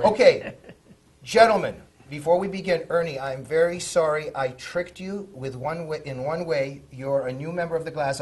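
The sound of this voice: Over noticeable background noise, a man with a fairly high pitch and ordinary pitch variation speaks at a moderate pace, with big swings in loudness.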